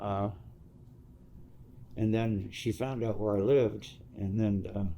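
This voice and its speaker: Against audible room echo, a man with an American accent talks at a fairly slow pace in a dark, mellow tone, his fairly low pitch moving in fairly even intonation. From Southern California (Santa Monica). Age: 70s. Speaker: former biker club member. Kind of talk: life story interview. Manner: halting.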